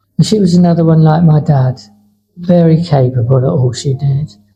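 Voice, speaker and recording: Fairly high-pitched man with a southern English accent, fairly even intonation and music in the background. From southern England, Poole, Dorset. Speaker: former Olympic marathon runner. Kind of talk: interview conversation. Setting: cafe.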